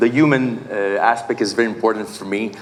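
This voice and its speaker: Fairly even intonation in a Quebec accent, with audible room echo and noticeable background noise. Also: man. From Quebec, Canada. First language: Portuguese. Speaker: real estate agent and investor. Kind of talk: conference panel introduction. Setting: stage with audience. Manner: halting, many fillers.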